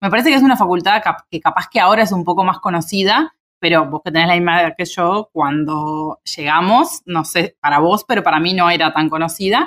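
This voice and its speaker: In a very clean recording with a silent background and a dry, close sound with no echo, a woman with a plain, everyday voice talks at a fairly quick pace, her fairly low pitch moving with ordinary variation. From Uruguay, Minas (Lavalleja). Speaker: immunology researcher. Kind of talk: casual interview conversation.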